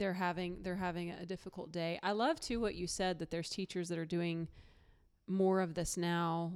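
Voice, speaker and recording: On a very clean recording with a silent background, a woman speaks with a Texan accent in a monotone, flat intonation. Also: fairly low pitch for a woman. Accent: Texan drawl. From Texas. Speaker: podcast host. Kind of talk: casual interview chat. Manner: warm, laughing.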